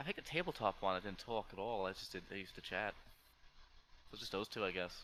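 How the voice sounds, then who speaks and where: A man's bright, sharp, fairly low voice at a very fast pace, with ordinary pitch variation and long, frequent pauses. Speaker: video editor. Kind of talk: casual chat. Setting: live stream voice call. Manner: stutters randomly.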